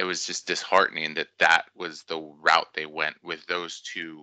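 The tone is bright and sharp, and the sound is dry with no echo. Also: man, quiet background. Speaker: podcast guest. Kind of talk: interview answer. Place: home room. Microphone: headset.

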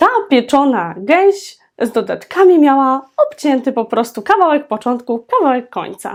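With very wide pitch swings and hardly any pauses, the speech runs at a moderate pace on a very clean recording with a silent background. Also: woman, high pitch for a woman. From Poland, Świętokrzyskie region (Starachowice). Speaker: parenting and language-learning vlogger. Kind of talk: educational vlog monologue.

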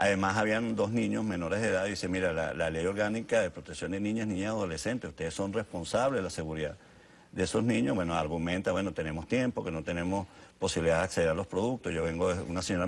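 Talking very fast, this man has a very deep, low voice with ordinary pitch variation. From Venezuela. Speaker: government official; guest. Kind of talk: TV interview. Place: studio. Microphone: lapel.

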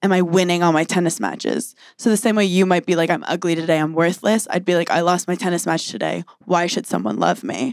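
Vocal fry marks this woman's very fast speech, with ordinary pitch variation. The background is quiet and the sound is dry with no echo. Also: fairly low pitch for a woman. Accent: American. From US, New York City. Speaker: stand-up comedian. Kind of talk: casual chat. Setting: live recording with audience. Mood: reflective, candid. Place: studio. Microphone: handheld.

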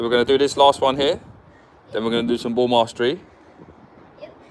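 Over light background noise, a man speaks in a calm tone. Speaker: football coach. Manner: brisk, directive, rapid-fire counting and cues, calm and encouraging; upbeat, reassuring praise. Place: garden. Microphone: phone near.

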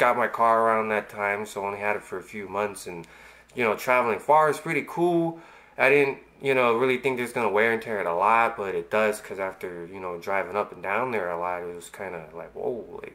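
A man's bright, sharp tone sits at a fairly low pitch with ordinary pitch variation. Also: fairly quick pace. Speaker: vlogger. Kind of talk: casual vlog chat. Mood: relaxed storytelling. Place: home room. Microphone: webcam.

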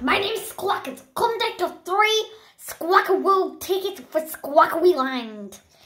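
A woman uses a put-on character voice. It is extremely high-pitched at a fairly slow pace. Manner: playful, silly.

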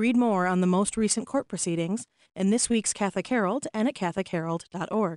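Lively intonation marks this woman's speech. The sound is dry with no echo, over a quiet background. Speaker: news reader. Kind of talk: news reading. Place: studio. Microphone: studio mic.

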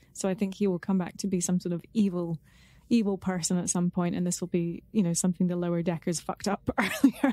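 A woman talks at a very fast pace in a medium pitch with fairly even intonation. The sound is dry and close with no echo, though noticeable background noise comes through. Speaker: podcast co-host. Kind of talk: casual chat. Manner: playful.

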